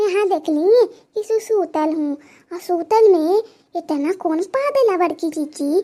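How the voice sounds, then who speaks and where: A woman puts on a playful, cartoonish character voice at an extremely high pitch. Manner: playful, wheedling.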